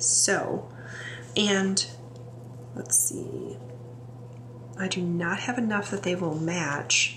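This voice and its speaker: Very slowly and with long, frequent pauses, a woman in an American accent speaks in a fairly low pitch with very wide pitch swings, noticeable background noise behind her. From US Midwest. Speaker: English professor and planner video creator. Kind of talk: casual tutorial, planner walkthrough; casual tutorial chat. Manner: chatty, relaxed with fillers.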